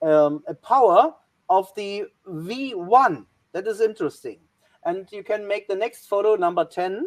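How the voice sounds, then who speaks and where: A woman with a German accent at a medium pitch, fairly slow, with lively intonation and big swings in loudness, in a dry, close sound with no echo. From Germany. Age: 60s. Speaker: historian. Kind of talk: presentation. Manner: halting.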